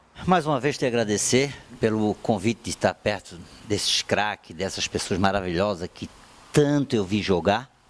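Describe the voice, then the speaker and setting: A man at a moderate pace with lively intonation. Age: 60s. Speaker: former footballer. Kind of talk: sports debate panel.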